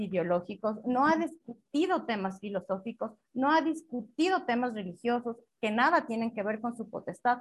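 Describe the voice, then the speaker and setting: The pitch sits high for this woman. She uses lively intonation. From Ecuador, Riobamba. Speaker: constitutional lawyer. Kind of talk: interview. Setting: internet call.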